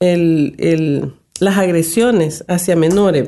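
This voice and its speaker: Her voice has a dark, mellow tone at medium pitch for a woman, with ordinary pitch variation. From El Salvador. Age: 60s. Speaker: gender and migration analyst. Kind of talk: radio interview.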